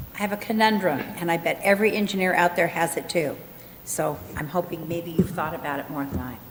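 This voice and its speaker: A woman at a fairly low pitch and fairly quick pace, ordinary pitch variation, with noticeable background noise. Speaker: city council member. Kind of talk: council meeting discussion. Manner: loud.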